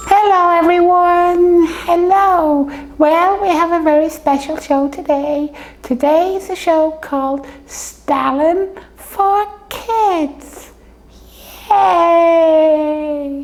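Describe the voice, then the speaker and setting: This cartoonish character voice is pitched extremely high. It moves at a very slow pace. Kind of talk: comedy puppet show.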